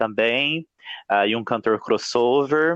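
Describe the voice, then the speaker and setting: His speech is very slow. A man's pitch shifts in an ordinary way. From Minas Gerais, Brazil. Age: 20s. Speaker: music professor and singer. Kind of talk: podcast interview.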